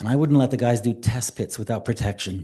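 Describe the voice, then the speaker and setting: At a moderate pace, a man talks in a dark, mellow tone, somewhat breathy, with his pitch moving in an ordinary way. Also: quiet background. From New Hampshire Seacoast. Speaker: local resident. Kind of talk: public comment at town meeting. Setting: town hall meeting room.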